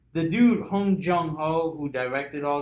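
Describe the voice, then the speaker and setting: A man speaks at a moderate pace with ordinary pitch variation, and audible room echo surrounds his voice. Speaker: podcast host. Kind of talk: casual group discussion. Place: meeting room.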